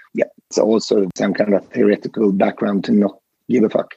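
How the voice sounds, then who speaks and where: A man speaks at a fairly quick pace. His medium-pitched voice has a dark, mellow tone. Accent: Swedish. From western Sweden, near Gothenburg. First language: Swedish. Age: 40s. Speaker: fashion company CEO. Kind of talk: interview.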